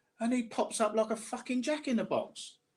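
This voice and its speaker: A man with a Cockney accent talks at a moderate pace. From South London, England. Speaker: online commentator. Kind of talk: casual chat. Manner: halting, repeats words.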